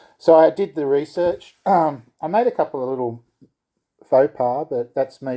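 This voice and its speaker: A man speaks with an Australian accent in a dark, mellow tone. The recording is very clean, with a silent background. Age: 60s. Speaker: skateboarder reviewing gear. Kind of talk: casual product review. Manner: hesitant, many fillers.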